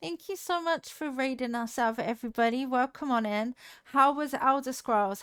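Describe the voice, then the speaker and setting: With a slight Devon accent and lively intonation, the voice comes through on a very clean recording with a silent background. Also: woman, dry, close sound with no echo. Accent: slight Devon accent on some words. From southwest England, Devon. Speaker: video game streamer. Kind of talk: casual live-stream chat.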